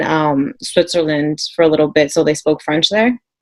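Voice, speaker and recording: An unremarkable speaking voice from a woman with an American accent, fairly low in pitch, at a moderate pace. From US, Peruvian parents. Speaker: panel guest. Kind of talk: casual chat.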